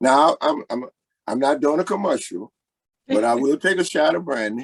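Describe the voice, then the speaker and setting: A plain, everyday voice with an American accent speaks at a moderate pace with lively intonation. The sound is dry and close, with no echo. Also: man, fairly high pitch for a man. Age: 60s. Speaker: blues singer. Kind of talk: interview.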